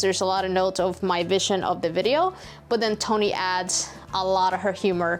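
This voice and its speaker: Medium-pitched speech from a woman with a Spanish accent, at a moderate pace with fairly even intonation and music in the background. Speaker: DIY YouTuber. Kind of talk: casual Q&A chat. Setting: cold workshop shed.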